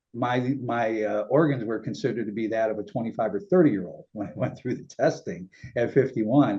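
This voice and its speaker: Lively intonation and a fairly quick pace mark this man's speech in an ordinary speaking voice. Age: 60s. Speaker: talk show host and kidney donor. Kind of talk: interview.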